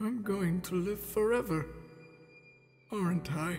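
Faint music plays behind a man doing a put-on character voice. He pitches it high and takes a fairly slow pace.

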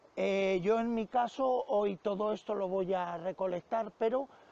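A man with a high pitch speaks at a very slow pace with ordinary pitch variation, and the sound is dry with no echo. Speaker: fishing channel host. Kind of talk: casual vlog chat. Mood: grateful, earnest. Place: waterside. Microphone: phone near.

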